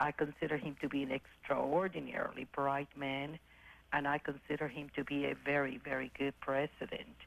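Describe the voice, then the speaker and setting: Her intonation fairly even, a woman speaks with a very deep, low pitch and vocal fry. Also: moderate pace. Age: 60s. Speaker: caller, businesswoman in real estate. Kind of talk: call-in opinion. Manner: halting.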